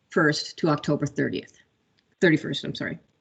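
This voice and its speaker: Speaking at a fairly quick pace, a woman has a very deep, low pitch. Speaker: state program presenter. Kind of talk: meeting presentation. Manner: fast.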